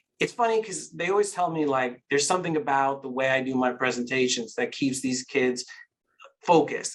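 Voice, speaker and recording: A man speaks fairly quickly at a fairly high pitch. His intonation is lively. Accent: American. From New York, Queens. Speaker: children's author and illustrator. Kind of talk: interview conversation.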